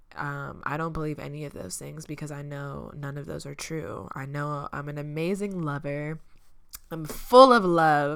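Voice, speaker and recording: A woman speaks at a moderate pace in a very deep, low voice, her loudness swinging widely and her pitch varying in an ordinary way, with audible room echo. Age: 20s. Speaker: podcast host. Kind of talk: casual monologue. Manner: casual, filler-heavy.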